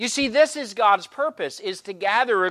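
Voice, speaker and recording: On a very clean recording with a silent background, a man projects a raised voice with a bright, sharp tone, lively intonation, and a moderate pace. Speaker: preacher. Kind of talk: sermon. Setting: church.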